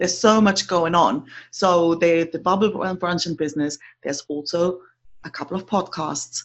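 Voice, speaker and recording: At a moderate pace, a woman speaks at a fairly low pitch with ordinary pitch variation. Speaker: podcast host and business coach. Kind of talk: interview, conversational.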